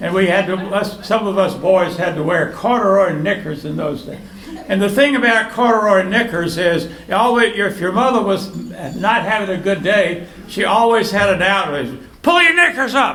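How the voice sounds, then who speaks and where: Noticeable background noise and audible room echo surround the speaker. He is a man with a high pitch and ordinary pitch variation. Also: moderate pace. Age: 80s+. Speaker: birthday honoree. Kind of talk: speech to party guests. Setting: birthday party with audience. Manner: halting.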